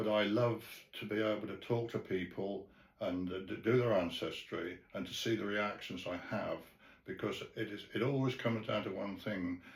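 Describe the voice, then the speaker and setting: The man's pitch is fairly low and his voice somewhat breathy. He keeps a moderate pace and fairly even intonation. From England. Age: 80s+. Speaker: retired sales and marketing manager. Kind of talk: interview answer.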